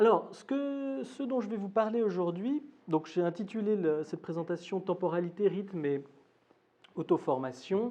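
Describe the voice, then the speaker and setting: Pitched high, a man speaks at a fairly slow pace with lively intonation and big swings in loudness. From Switzerland, Geneva. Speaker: academic lecturer. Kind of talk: lecture. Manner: hesitant, many fillers.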